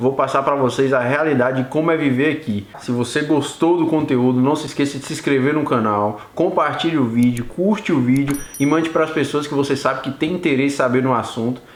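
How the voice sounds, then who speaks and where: An animated, fairly quick delivery with hardly any pauses, ordinary pitch variation, and noticeable background noise. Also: man, fairly high pitch for a man. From Brazil, Bahia (Vitória da Conquista). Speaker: YouTuber, Brazilian immigrant. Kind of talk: casual vlog storytelling. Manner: casual, animated.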